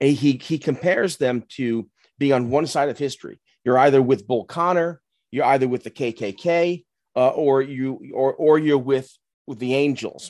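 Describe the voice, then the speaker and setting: A man with a fairly high pitch and an unremarkable speaking voice speaks at a fairly slow pace with ordinary pitch variation against a quiet background. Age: 50s. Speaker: podcast co-host. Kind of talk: casual chat.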